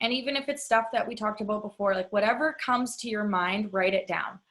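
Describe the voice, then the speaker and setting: Fairly quick, fairly high-pitched speech from a woman in a plain, everyday voice. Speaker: online money mindset coach. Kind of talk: online workshop lesson.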